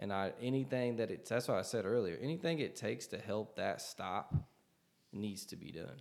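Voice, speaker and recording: A man's medium-pitched voice, with vocal fry, moves at a moderate pace with lively intonation. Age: 30s. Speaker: podcast co-host. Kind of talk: casual chat. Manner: casual, profane.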